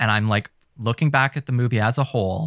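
Recorded very cleanly against a silent background, the sound dry and close with no echo, a man talks at a fairly quick pace with fairly even intonation in an ordinary speaking voice. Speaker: podcast co-host. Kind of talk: casual chat.

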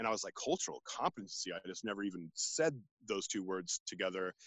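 A man at a medium pitch, talking at a fairly quick pace. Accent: Californian. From US West Coast, San Francisco Bay Area. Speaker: naturalist and outdoor educator. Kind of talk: casual interview. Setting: video call from a redwood forest.

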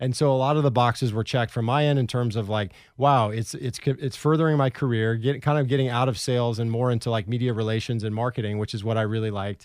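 Very fast man with an American accent, fairly even intonation, hardly any pauses, quiet background. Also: medium pitch for a man. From Portland, Oregon. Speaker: podcast co-host, former golf professional. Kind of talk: casual chat.

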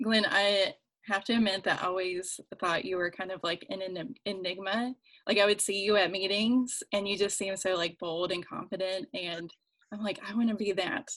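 In an American accent, a woman talks at a moderate pace with medium pitch, ordinary pitch variation and an unremarkable speaking voice. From rural West Virginia. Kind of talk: casual chat.

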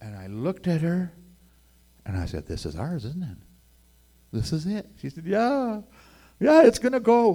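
A man with a western Canadian accent speaks at a moderate pace and high pitch, with long, frequent pauses and big swings in loudness. His tone is dark and mellow, and the recording is very clean with a silent background. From Edmonton, Alberta, Canada. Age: 60s. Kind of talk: testimony. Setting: stage with audience.

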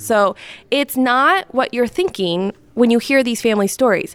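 A woman's fairly high voice in a Midwestern American accent, with ordinary pitch variation and a moderate pace. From Northwest Indiana. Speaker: communications director. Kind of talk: interview. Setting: recorded on location.

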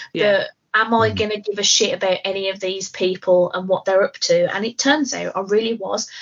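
A woman's medium voice with a British accent, fairly quick and with fairly even intonation. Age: 30s. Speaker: podcast co-host. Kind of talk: casual chat.

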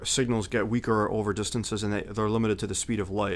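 A man with an American accent talks at a very fast pace. His fairly low voice stays monotone and flat. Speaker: guest and military veteran. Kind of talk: casual podcast chat.

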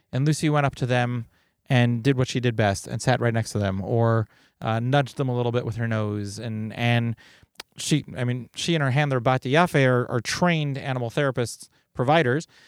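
In a very clean recording with a silent background, a man with a plain, everyday voice speaks at a fairly quick pace, medium in pitch with ordinary pitch variation. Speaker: podcast host for volunteer EMS organization. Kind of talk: podcast interview conversation.

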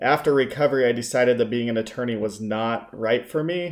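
This is a man with an ordinary speaking voice and an American accent. His medium pitch carries fairly even intonation. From Utah, Salt Lake City. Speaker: former attorney in addiction recovery. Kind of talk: casual chat.

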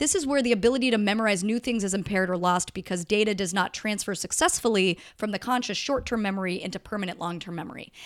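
Hardly pausing, a woman talks at a very fast pace on a very clean recording with a silent background. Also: medium pitch for a woman, ordinary pitch variation. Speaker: podcast co-host. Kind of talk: casual chat.

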